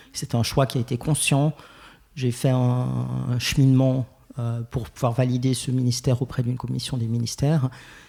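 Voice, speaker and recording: A man speaks in a monotone with flat intonation and a somewhat breathy voice. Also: medium pitch for a man, moderate pace. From Geneva, Switzerland. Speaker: LGBTQ+ church ministry founder. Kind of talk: podcast interview. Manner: hesitant, many fillers.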